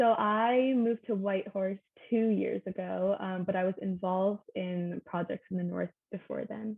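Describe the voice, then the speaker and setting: The woman has an unremarkable speaking voice, pitched medium, and talks at a moderate tempo with fairly even intonation. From Canada. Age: 20s. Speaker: science student. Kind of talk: interview.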